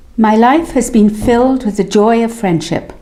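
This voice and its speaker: At a fairly slow pace, a woman with a medium pitch speaks over noticeable background noise. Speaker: memoir narrator. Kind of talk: reading aloud of personal memoir.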